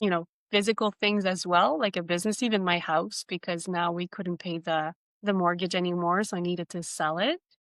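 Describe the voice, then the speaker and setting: A woman with a plain, everyday voice speaks at a moderate pace and medium pitch. Her intonation stays fairly even, and the sound is dry and close with no echo. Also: quiet background. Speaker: self-awareness coach and author. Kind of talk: podcast interview.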